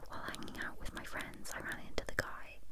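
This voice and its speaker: A woman whispering at a moderate pace in a British accent. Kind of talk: ASMR story reading. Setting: binaural microphone. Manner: whispered.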